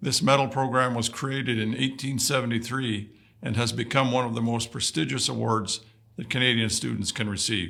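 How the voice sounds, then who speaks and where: Fairly quick in pace, the speech carries a bright, sharp tone. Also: man. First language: Woodland Cree. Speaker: vice-regal dignitary. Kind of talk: prepared ceremonial address. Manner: formal.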